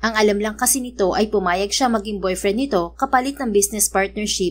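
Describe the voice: The pitch moves with ordinary variation through this plain reading aloud.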